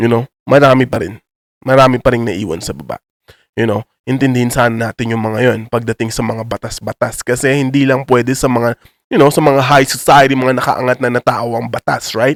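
Using a plain, everyday voice, a man talks at a fairly quick pace and medium pitch in a dry, close sound with no echo. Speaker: YouTuber. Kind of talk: casual vlog commentary in Taglish. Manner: casual, filler-heavy slang.

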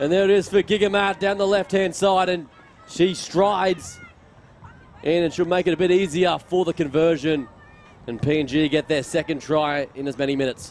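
A man with a high-pitched voice speaks with ordinary pitch variation. The sound is dry with no echo, with light background noise. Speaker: sports commentator. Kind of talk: commentary.

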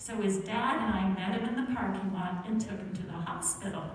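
A woman's voice carries strong room echo over light background noise. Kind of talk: children's story. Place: church. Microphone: pa.

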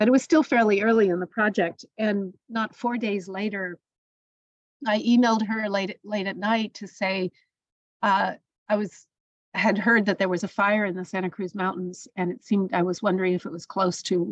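In an ordinary speaking voice, a woman talks at a medium pitch and a moderate pace. Her intonation is fairly even, and the sound is dry and close with no echo. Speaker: poet. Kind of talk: radio interview.

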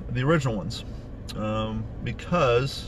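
Recorded dry with no echo and with light background noise, a man speaks at a fairly slow pace. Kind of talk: casual vlog chat. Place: car. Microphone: phone near.

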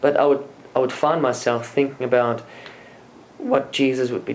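There is light background noise behind the speech. A man talks in a monotone, flat intonation. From South Africa, Afrikaans-speaking area. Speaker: former Jehovah's Witness, religious speaker. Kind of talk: interview. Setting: conference venue. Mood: calm, reflective. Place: office.

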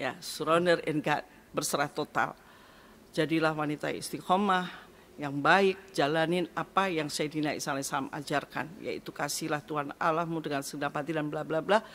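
The speech moves at a fairly quick pace with fairly even intonation. Light background noise can be heard. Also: woman, very deep, low pitch for a woman. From East Java, Indonesia. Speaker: pastor. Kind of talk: testimony. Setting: studio. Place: studio. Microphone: studio mic.

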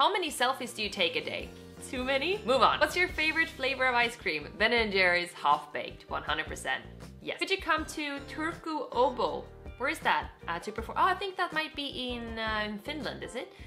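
Faint music plays in the background as a woman speaks. Her voice is raised and projected, at a moderate pace. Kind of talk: casual vlog chat. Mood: cheerful, playful. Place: home room. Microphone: camera far.

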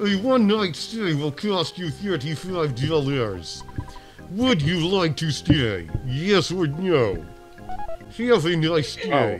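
Over clear music in the background, a put-on character voice at a middle pitch moves at a very slow pace.

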